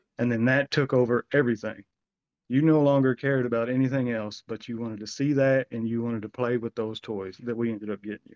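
A man talks at a very fast pace in a medium pitch. His intonation stays fairly even. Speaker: former co-host interviewing. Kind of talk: casual interview. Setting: video call.

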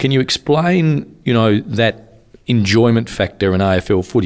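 Speaking in an Australian accent, a man is heard. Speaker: podcast host. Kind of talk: interview, casual conversation.

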